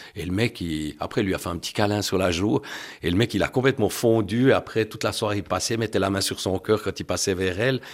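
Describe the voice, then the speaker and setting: A man in an unremarkable speaking voice, pitched fairly low, moves at a fairly quick pace and varies his pitch in an ordinary way. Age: 60s. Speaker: husband and caregiver of a person with MS. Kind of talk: testimony.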